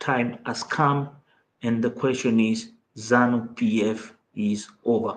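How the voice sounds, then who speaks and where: Speaking at a very slow pace with a Mozambican accent, a man uses a medium pitch and a monotone, flat intonation. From Mozambique. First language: Portuguese. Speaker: political commentator, channel host. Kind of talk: livestream commentary.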